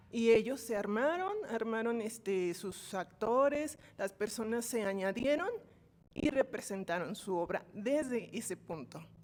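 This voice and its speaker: Her voice is fairly high for a woman, with lively intonation. She speaks at a fairly slow pace. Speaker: course participant. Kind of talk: class discussion comment. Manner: soft-spoken.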